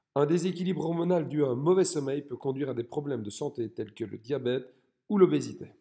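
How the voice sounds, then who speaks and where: A man with a Belgian accent, a fairly high pitch, a dark, mellow tone and ordinary pitch variation. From Belgium. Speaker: fitness coach. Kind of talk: educational talk. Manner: scripted, clear delivery.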